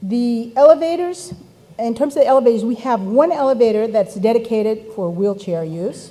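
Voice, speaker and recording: The intonation is lively. Noticeable background noise sits behind the voice. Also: woman, fairly high pitch for a woman, moderate pace. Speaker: event facilitator. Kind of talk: conference announcements.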